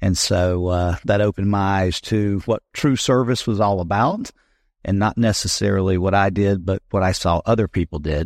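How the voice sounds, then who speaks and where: This man speaks at a moderate pace with an American accent, fairly even intonation and very even loudness, in a dry, close sound with no echo. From US South (South Carolina). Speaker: city council candidate, war veteran. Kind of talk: interview.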